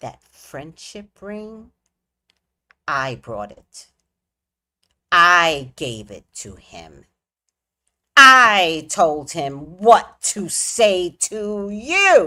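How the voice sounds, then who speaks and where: In a put-on character voice, a woman speaks at a very slow pace with fairly low pitch, very wide pitch swings, and long, frequent pauses. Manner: menacing.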